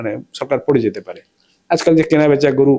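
His tone sounds dark and mellow. This man's voice sits fairly high. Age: 60s. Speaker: political commentator, academic. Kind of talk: interview.

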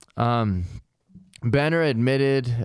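With an American accent, the speaker uses ordinary pitch variation against a quiet background, and the sound is dry with no echo. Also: man. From US Midwest. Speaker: comedy true-crime podcast host. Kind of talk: casual comedic chat with true-crime storytelling. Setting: recording session with co-hosts. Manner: animated, laughs often. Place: studio. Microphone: studio mic.

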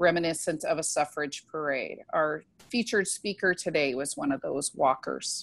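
A woman speaks in a normal speaking voice at a fairly low pitch and moderate pace, with ordinary pitch variation and a dry sound with no echo. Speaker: event host introducing speaker. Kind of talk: introduction speech. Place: home room. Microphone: earbuds.

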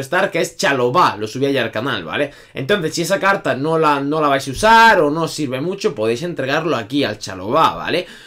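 Against a quiet background, a man with a fairly high pitch and a bright, sharp tone speaks at a fairly quick pace with very wide pitch swings. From Spain. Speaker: gaming youtuber. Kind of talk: video game tutorial. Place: home room.

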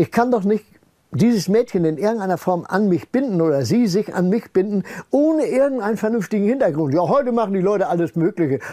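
At a very fast pace with very even loudness, the voice is dark and mellow with lively intonation over a quiet background. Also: man, high pitch for a man. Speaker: retired scientist speaking on paranormal research; interviewee. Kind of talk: interview, personal storytelling. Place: home room.

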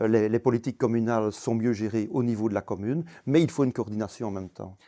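Against a quiet background, a man with a dark, mellow tone speaks at a very fast pace and a medium pitch. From Belgium, Wallonia (Clabecq, Walloon Brabant); Wallonia, Belgium. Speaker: retired economics professor. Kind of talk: interview. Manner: hesitant, frequent fillers. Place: studio. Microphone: lapel.

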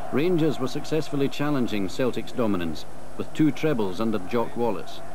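With lively intonation and a moderate pace, a man talks while background noise is clearly heard. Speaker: documentary narrator. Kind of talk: 1980s TV documentary narration, scripted, measured and authoritative. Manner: formal, measured, crisp.

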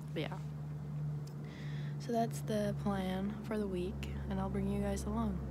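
A woman at a fairly slow pace, dry with no echo, under loud background noise. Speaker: vlogger. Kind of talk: casual vlog chat. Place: street. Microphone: phone near.

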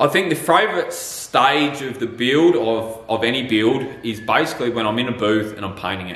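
The man speaks at a moderate pace, with audible room echo around his voice. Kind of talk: Q&A answer to viewers. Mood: relaxed, laughing a little. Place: workshop.

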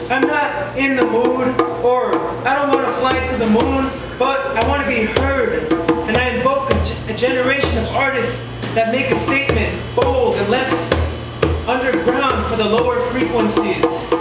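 Loud music plays in the background as a man talks at a moderate pace with audible room echo. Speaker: poet. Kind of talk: beat poetry reading with jazz accompaniment. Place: cafe. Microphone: camera far.

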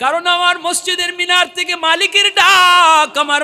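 A man's raised, projected voice with fairly even intonation over noticeable background noise. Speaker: Islamic preacher. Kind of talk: sermon. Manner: emotional, impassioned.

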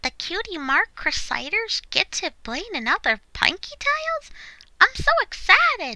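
Doing a put-on character voice, a woman hits an extremely high pitch with very wide pitch swings at a moderate pace, in a dry, close sound with no echo. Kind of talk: voice acting audition. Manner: upbeat, excited.

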